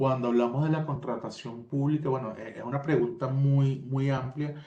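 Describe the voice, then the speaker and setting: A man speaks with a Venezuelan accent in a dark, mellow, somewhat breathy tone. His intonation is monotone and flat, with audible room echo. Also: medium pitch for a man, moderate pace. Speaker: tech company solutions expert. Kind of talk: webinar presentation.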